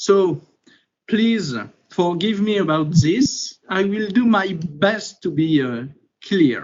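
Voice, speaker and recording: A man's high voice at a very slow pace. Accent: French. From France. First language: French. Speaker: consultancy executive, speaker. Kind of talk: presentation. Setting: video webinar.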